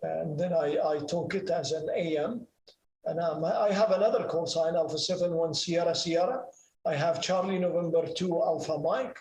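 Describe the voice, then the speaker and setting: A man's high-pitched voice at a moderate pace, fairly even in intonation, with audible room echo. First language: Arabic. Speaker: ham radio operator and pilot. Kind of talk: presentation and Q&A. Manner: halting, many fillers.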